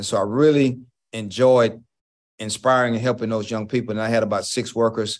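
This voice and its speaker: Moderately paced, a man with an American accent and medium pitch has an unremarkable speaking voice with fairly even intonation. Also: quiet background. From Houston, Texas (Fifth Ward). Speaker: college basketball coach. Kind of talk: interview.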